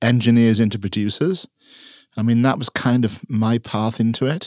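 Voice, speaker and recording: A man's voice, dark and mellow in tone, with a dry, close sound and no echo. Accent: Welsh. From Wales. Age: 60s. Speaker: music producer. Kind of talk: interview. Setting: studio.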